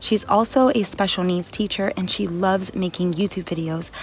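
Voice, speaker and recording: This woman speaks at a fairly quick pace with a medium pitch and ordinary pitch variation. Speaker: lifestyle vlogger. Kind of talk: scripted voiceover; casual vlog talk to camera. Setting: home office. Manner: fast.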